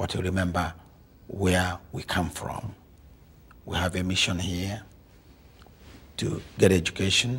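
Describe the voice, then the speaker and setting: A man with an African accent speaks at a fairly slow pace in a very deep, low pitch, his intonation monotone and flat. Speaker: African immigrant community speaker. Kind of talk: interview.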